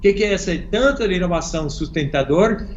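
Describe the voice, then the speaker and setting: Moderate pace and ordinary pitch variation in an American accent, with audible room echo. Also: man. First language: English (speaking Portuguese). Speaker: innovation consultant. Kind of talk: interview.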